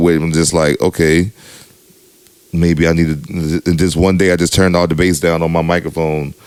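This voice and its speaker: A man's very deep, low voice at a moderate pace, monotone and flat, over noticeable background noise. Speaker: DJ, podcast co-host. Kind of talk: casual chat. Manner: casual, lots of filler.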